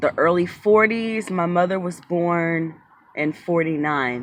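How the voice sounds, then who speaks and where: A woman with an American accent. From Maryland, US. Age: 30s. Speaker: YouTuber and tarot reader. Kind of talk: personal storytelling vlog. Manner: casual, with frequent fillers.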